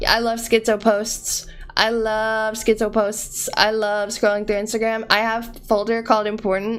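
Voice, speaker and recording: With music in the background, a woman with an American accent speaks at a moderate pace and a fairly high pitch. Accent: American with cot-caught merger. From US, region with cot-caught merger. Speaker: streamer. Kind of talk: casual chat. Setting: live stream. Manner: animated.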